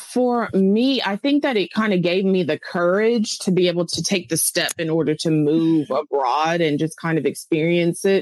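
A woman with an unremarkable speaking voice and an American accent talks at a moderate pace and a fairly low pitch, with lively intonation, very even loudness and hardly any pauses. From US South, Tennessee. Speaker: expat English teacher. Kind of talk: casual interview.

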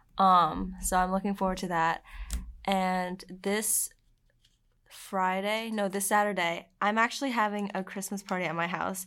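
A woman with an American accent has an unremarkable speaking voice, speaking at a medium pitch and moderate pace with fairly even intonation. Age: young. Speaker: college student and Eagle Scout. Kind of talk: casual interview.

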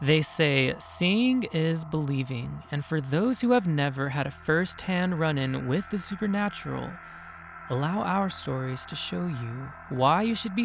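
A man's fairly high voice with an American accent, lively intonation and a fairly slow pace over music in the background. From San Bernardino, California. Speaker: podcast host and storyteller. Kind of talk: ghost story telling, first-person spooky narration. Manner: suspenseful, hushed and dramatic; animated, conversational, recounting in present tense.

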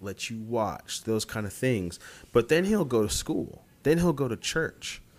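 In an American accent, a man of medium pitch speaks with lively intonation. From US Midwest (Columbia, Missouri). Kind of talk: casual interview chat.

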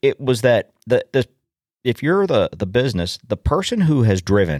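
A man's voice swings very widely in pitch and has vocal fry. The recording is very clean and dry, close, with a silent background and no echo. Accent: American. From US, suburban. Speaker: podcast host, farmer. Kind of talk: casual solo monologue.

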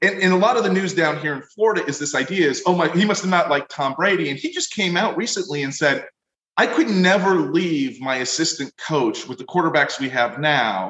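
An unremarkable speaking voice, from a man with an American accent and a fairly high pitch. He talks at a fairly quick pace with lively intonation. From Pennsylvania, US (Wilkes-Barre). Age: 40s. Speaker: leadership professor and author. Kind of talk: interview podcast.

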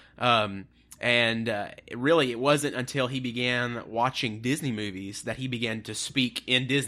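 At a fairly slow pace, a man with a medium-pitched voice and a bright, sharp tone speaks with fairly even intonation. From Tennessee, near Appalachia. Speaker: podcast host, pastor. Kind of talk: casual chat.

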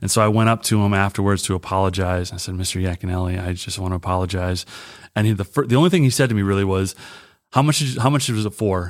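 On a very clean recording with a silent background, a man with an American accent talks at a very fast pace in a fairly low pitch with ordinary variation. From Michigan. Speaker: youth pastor. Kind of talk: casual interview.

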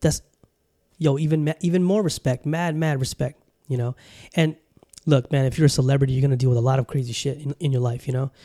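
Speaking with a Californian accent at a very fast pace, a man with a fairly high pitch and a dark, mellow tone takes long, frequent pauses, the sound dry and close with no echo. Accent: Californian American. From Southern California. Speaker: podcast host. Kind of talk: casual monologue. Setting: home studio with camera. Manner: animated.

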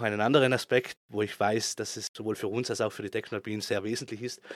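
A man at medium pitch, fairly quick and fairly even in intonation, with hardly any pauses. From South Tyrol, Italy (Bozen). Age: 30s. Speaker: ski resort operations manager. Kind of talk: interview. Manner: hesitant, with filler sounds.

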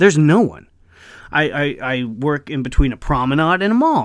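A man speaks fairly quickly at a fairly high pitch, with an animated tone and lively intonation. The recording is very clean, with a silent background. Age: 30s. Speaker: vlogger, bartender and actor. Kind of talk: casual comedic monologue.

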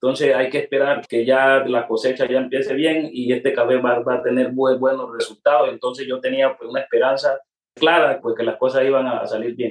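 Speaking fairly quickly with hardly any pauses, a man holds a medium pitch in a flat monotone. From Colombia, Pacific coast of Cauca (Guapi). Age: 50s. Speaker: coffee farmer. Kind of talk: interview testimony. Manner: halting, with repetitions.

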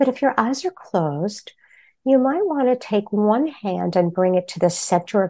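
With an American accent, a woman talks at a fairly slow pace in a medium-pitched, dark, mellow voice. Her tone is calm and soothing, yet her pitch swings very widely. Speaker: therapist and meditation teacher. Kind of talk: interview with guided meditation. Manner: calm, slow, soothing.

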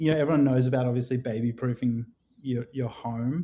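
With an Australian accent, a man speaks in a medium pitch and a dark, mellow tone, keeping his intonation fairly even. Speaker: guest, father of a baby. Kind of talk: casual chat.

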